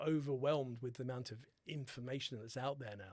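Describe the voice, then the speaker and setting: A man with a British accent, at a medium pitch and a moderate pace. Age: 60s. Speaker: holistic dentist. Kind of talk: podcast interview.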